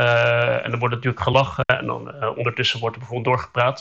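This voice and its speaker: A man speaking at a fairly quick pace. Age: 30s. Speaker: communications adviser, hard of hearing. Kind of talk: casual interview. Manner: hesitant, many fillers.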